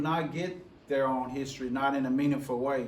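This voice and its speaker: Audible room echo surrounds the recording. A man talks with an American accent. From US South, Memphis, Tennessee. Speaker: educator and diversity officer. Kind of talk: presentation leading a group conversation. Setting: forum presentation before live audience. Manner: halting, many repetitions and fillers.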